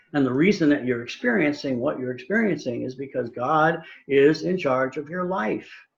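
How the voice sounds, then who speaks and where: A man speaks at a fairly high pitch. Room echo can be heard. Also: moderate pace. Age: 70s. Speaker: church speaker. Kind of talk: sermon. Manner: halting.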